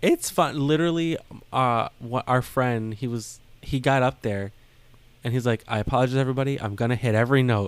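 In a very clean recording with a silent background, a man uses a plain, everyday voice at medium pitch, with ordinary pitch variation and a fairly quick pace. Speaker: podcast co-host. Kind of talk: casual chat.

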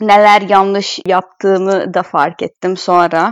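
A woman's medium-pitched voice with a Hungarian accent, at a fairly slow pace. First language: Hungarian (speaking Turkish). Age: 20s. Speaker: former exchange student, translator. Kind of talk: casual interview.

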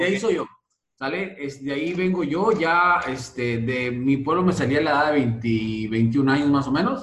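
The intonation is lively. The pace is moderate. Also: man. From Mexico, Sonora (Santa Ana, near US border). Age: 30s. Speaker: network marketing leader. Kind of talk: interview. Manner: halting, many fillers.

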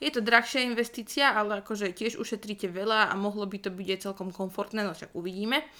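At a fairly quick pace and with ordinary pitch variation, this is an ordinary speaking voice. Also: woman. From northwestern Slovakia (Rajecká Lesná). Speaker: podcast co-host. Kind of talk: casual chat.

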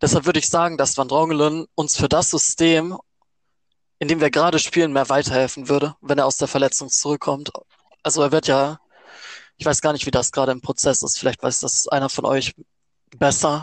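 Over a quiet background, a man speaks in a fairly high pitch with monotone, flat intonation and long, frequent pauses. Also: dry, close sound with no echo. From Baden-Württemberg, Germany (Offenburg). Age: 20s. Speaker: student, fan podcast co-host. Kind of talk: casual chat. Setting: remote recording.

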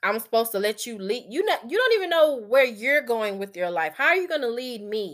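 A woman's fairly high, animated voice at a fairly quick pace, with very wide pitch swings and hardly any pauses. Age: 30s. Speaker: podcast host. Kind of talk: casual chat. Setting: at home at computer.

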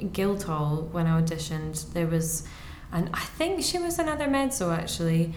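A woman with a Scottish accent, very even loudness, audible room echo and noticeable background noise. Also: moderate pace. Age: 20s. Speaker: mezzo soprano, music student. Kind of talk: casual chat.

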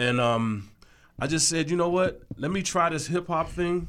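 An ordinary speaking voice with an American accent talks at a fairly quick pace. Its pitch variation is ordinary. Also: man. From Washington DC. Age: 50s. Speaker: music producer. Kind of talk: interview. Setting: studio.

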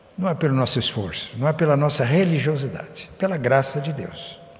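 Against noticeable background noise, a man with a fairly high pitch talks at a fairly slow pace with ordinary pitch variation. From rural Brazil. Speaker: pastor. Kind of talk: sermon.

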